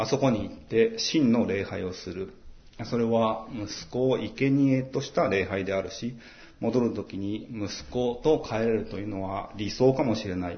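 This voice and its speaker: A somewhat breathy man at medium pitch and a fairly slow pace, with ordinary pitch variation and audible room echo. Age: 40s. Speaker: pastor. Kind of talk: sermon. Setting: church.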